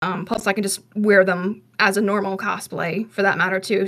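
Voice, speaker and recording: A woman with a plain, everyday voice, medium in pitch, at a fairly quick pace. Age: 20s. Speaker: podcast co-host. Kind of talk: casual chat.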